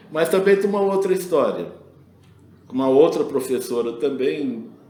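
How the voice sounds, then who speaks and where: His speech moves at a moderate pace. The room adds an audible echo. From Brazil. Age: 70s. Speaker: retired school administrator and engineer. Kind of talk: interview, personal anecdotes. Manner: conversational with self-repetitions.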